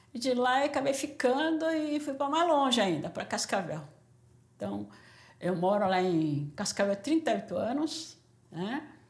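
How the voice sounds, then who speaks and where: Talking at a moderate pace, a woman uses a high pitch with very wide pitch swings. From Brazil, São Paulo from age 14, born Korea. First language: Korean (speaking Portuguese). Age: 60s. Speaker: doctor. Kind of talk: interview testimony.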